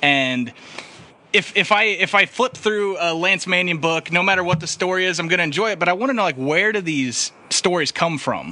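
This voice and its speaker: Over noticeable background noise, a man speaks at a moderate pace, his high pitch showing ordinary variation. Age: 20s. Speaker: podcast host. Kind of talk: casual chat.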